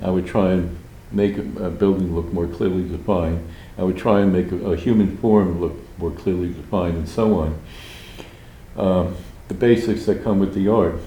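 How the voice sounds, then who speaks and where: The speech has a moderate pace with long, frequent pauses and fairly even intonation, heard through audible room echo and noticeable background noise. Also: man, very deep, low pitch for a man. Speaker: artist. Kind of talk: interview conversation. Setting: public library.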